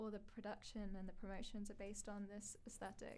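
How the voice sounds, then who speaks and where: Fairly high female pitch and fairly even intonation at a moderate pace, amid audible room echo. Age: 20s. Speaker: festival narrative team member and performer. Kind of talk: casual chat.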